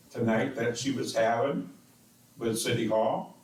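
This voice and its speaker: This man talks at a fairly slow pace in a medium pitch, with audible room echo around his voice. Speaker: city council member. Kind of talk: council meeting debate. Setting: council chamber with microphones. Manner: slow and loud.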